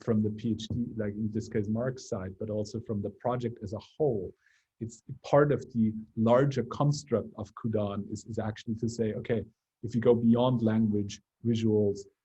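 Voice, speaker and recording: With a Bavarian accent, a man speaks fairly slowly at medium pitch in a somewhat breathy, dark, mellow voice with flat, monotone intonation. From Bavaria, Germany. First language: German. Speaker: research lab leader. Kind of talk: academic seminar discussion. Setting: video call.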